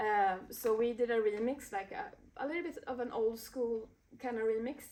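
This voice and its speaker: A woman speaks with a Swedish accent at a moderate pace and a fairly high pitch. Her tone is dark and mellow, and her intonation is lively. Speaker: DJ and music producer. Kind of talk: interview. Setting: recording studio. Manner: halting, many fillers.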